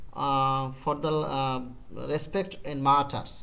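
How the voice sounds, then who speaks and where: Speaking in a Bengali accent at a very slow pace, a man is heard with audible room echo. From Bangladesh. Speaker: freelance digital marketer. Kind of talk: business meeting. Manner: halting.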